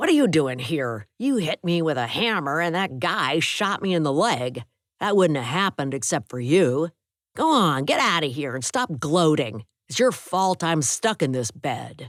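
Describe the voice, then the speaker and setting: In a very clean recording with a silent background and a dry, close sound with no echo, a man does a gruff put-on character voice at fairly high pitch and a moderate pace, with very wide pitch swings. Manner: angry, accusing.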